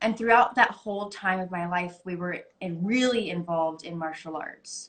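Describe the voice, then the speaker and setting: Medium pitch and a normal speaking voice from a woman with an American accent, moderate pace, ordinary pitch variation. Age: 20s. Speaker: actress. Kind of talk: casual interview. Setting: Instagram live video call.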